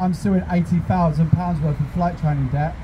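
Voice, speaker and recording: A high-pitched man's voice with fairly even intonation at a moderate pace, over noticeable background noise. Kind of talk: protest speech. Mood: earnest, personal. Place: street. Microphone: handheld.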